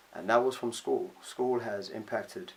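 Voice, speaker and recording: A man speaks at a moderate pace with a northern English accent. His intonation is lively. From northern England. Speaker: vlogger. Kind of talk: personal vlog monologue. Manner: halting, many fillers.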